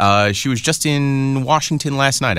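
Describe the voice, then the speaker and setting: A man is talking. His is a plain, everyday voice. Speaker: entertainment news podcast co-host. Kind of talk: casual chat.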